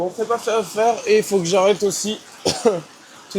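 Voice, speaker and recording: A man's high voice at a moderate pace, with fairly even intonation, over noticeable background noise. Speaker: vlogger doing daily push-up challenge. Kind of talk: personal video diary monologue. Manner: halting, self-correcting.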